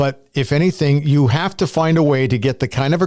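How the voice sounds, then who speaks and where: A man with a Canadian accent and fairly high pitch speaks in a plain, everyday voice. The recording is very clean, with a silent background. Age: 60s. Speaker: sports podcast host. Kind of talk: casual chat.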